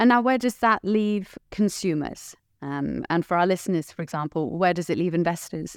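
A woman with a British accent speaks at a fairly low pitch. The recording is very clean and dry, close with no echo and a silent background. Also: ordinary pitch variation, moderate pace. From Britain. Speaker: podcast host. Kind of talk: scripted introduction; interview. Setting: studio.

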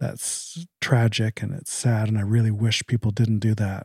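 A man's calm, dark, mellow voice, somewhat breathy and medium in pitch, with monotone, flat intonation and a dry, close sound with no echo. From Canada. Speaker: addiction treatment center co-founder in recovery. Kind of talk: casual chat. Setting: at home. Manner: polite, proper.

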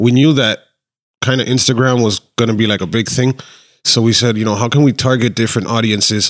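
In a very clean recording with a silent background, a man with an American accent and an ordinary speaking voice talks at a fairly quick pace, medium in pitch, with fairly even intonation and very even loudness. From Miami, Florida. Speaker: Instagram page admin. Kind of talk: casual chat.

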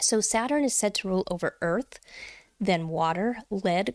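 In a dry, close sound with no echo, a woman's intonation rises and falls in a lively way. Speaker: witchcraft podcast host. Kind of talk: tutorial.

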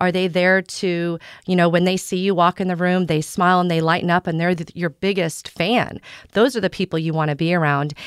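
A plain, everyday voice from a woman with an American accent, fairly low in pitch, fairly even intonation, at a fairly quick pace, in a very clean, dry, close recording with a silent background and no echo. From US Midwest, Southeast Kansas. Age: 40s. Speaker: real estate broker. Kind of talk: casual chat.

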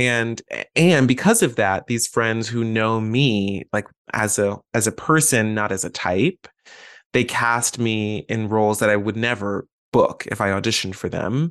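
A man in a normal speaking voice at a medium pitch and a fairly slow pace, with ordinary pitch variation. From Atlanta, US South. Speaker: actor and graduate student.

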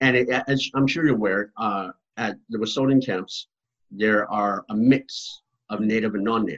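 This man has a plain, everyday voice with an American accent and a medium pitch. His intonation is fairly even and his pace is moderate. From Massachusetts, near Boston. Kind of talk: interview.

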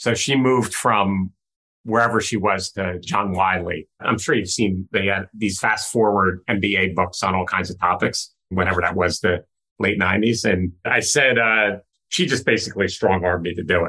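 Against a quiet background, a man with a fairly low pitch and a bright, sharp tone speaks at a moderate pace with fairly even intonation. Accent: American. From northwest New Jersey. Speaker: tech executive and investor. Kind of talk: interview.

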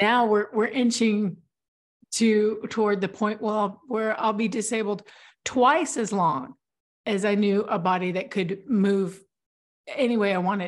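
An ordinary speaking voice moves at a fairly slow pace with ordinary pitch variation against a quiet background. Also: woman, fairly high pitch for a woman. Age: 40s. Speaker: stroke survivor, author and writing coach. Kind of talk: casual interview.

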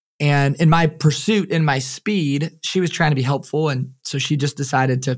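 A somewhat breathy man's voice at a moderate pace, with hardly any pauses. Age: 30s. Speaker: performance coach and keynote speaker. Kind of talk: interview conversation.

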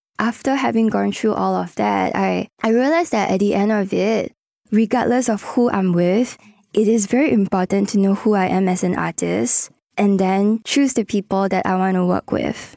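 Dry and close with no echo, a woman with a Singaporean accent speaks at a moderate pace and medium pitch, her loudness very even and her pitch variation ordinary. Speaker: singer-songwriter and producer. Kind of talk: casual interview. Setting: studio.

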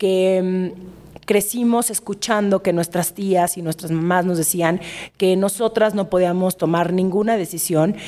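At a fairly slow pace, a woman speaks with a medium pitch and fairly even intonation. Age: 30s. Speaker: writer and influencer. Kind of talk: casual chat.

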